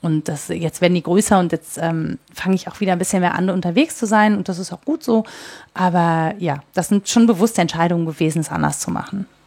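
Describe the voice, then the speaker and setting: A woman with an ordinary speaking voice and a fairly low pitch talks at a fairly quick pace with ordinary pitch variation, the sound dry and close with no echo. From Mönchengladbach, Lower Rhine, Germany. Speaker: freelance journalist and podcaster. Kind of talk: interview. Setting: in person in Cologne.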